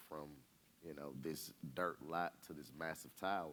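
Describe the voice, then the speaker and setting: Speaking with an Atlanta accent, a man delivers his words at a fairly slow pace in a very deep, low pitch with monotone, flat intonation. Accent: Southern US (Atlanta). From Atlanta, Georgia (US South). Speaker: real estate company president. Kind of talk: interview on stage. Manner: halting.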